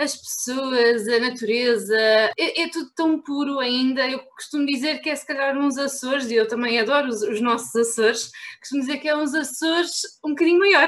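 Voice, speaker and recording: Speaking with a European Portuguese accent, a woman talks at a high pitch and a moderate pace with ordinary pitch variation. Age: 20s. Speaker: travel blogger. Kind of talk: casual chat. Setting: remote call from home.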